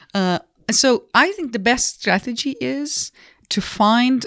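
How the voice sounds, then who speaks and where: The woman's pitch swings very widely. Her pace is very slow. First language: not English. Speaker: business school professor and comedian. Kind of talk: casual interview.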